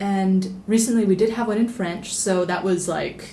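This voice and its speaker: Speech comes at a moderate pace with fairly even intonation. Noticeable background noise and audible room echo surround it. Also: woman. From international upbringing, Italian family, born in Rome. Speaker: travel writer and editor. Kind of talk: podcast interview. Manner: conversational, many filler words.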